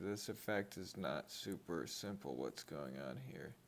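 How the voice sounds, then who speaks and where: This man's voice sits at a fairly low pitch. Vocal fry runs through his speech. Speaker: card-opening youtuber. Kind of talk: casual unboxing commentary. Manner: slow.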